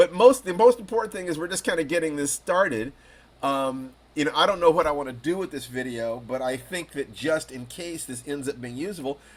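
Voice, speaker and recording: In a normal speaking voice, a man speaks with lively intonation and big swings in loudness. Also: fairly high pitch for a man, fairly quick pace. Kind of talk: interview host questions.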